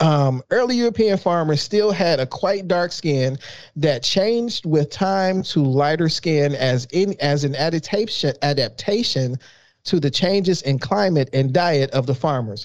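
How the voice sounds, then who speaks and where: Speaking with an American accent, a man with a plain, everyday voice talks at a fairly slow pace in a fairly high pitch, with lively intonation and very even loudness. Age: 40s. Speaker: podcast co-host. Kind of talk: reading news articles aloud; casual chat.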